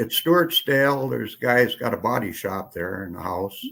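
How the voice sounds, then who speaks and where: In an Upper Midwest accent, the speaker goes at a moderate pace with big swings in loudness. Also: man. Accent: Upper Midwest rural. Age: 80s+. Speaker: retired rancher. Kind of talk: casual chat. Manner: halting.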